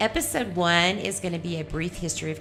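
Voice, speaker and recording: Music is in the background as a woman speaks at a fairly quick pace. Her pitch is fairly low, with ordinary variation. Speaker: podcast host. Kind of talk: podcast intro. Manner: upbeat.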